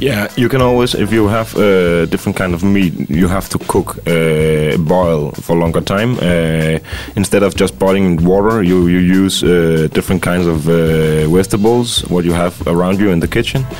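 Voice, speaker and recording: A man speaks at a fairly slow pace in a very deep, low voice, with ordinary pitch variation, very even loudness and noticeable background noise. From Denmark. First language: Danish (speaking Russian). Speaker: chef. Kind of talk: interview through interpreter. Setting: studio. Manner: halting.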